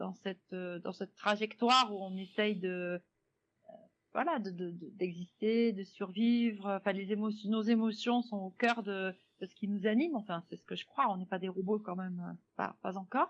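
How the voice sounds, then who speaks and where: Speaking at a moderate pace and medium pitch, a woman keeps her intonation fairly even while her loudness swings widely. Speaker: jazz singer. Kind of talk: radio interview. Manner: hesitant, many fillers.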